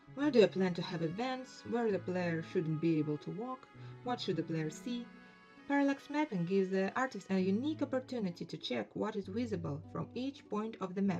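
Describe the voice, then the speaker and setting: A woman's voice at medium pitch with very wide pitch swings, a fairly quick pace, and music in the background. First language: non-native English speaker. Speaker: indie game developer. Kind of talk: casual talk over screen recording.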